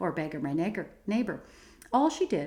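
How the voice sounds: The clip presents a natural reading voice.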